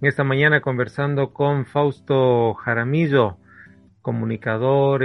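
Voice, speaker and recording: A man at a very slow pace, with monotone, flat intonation. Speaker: radio host. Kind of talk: radio interview.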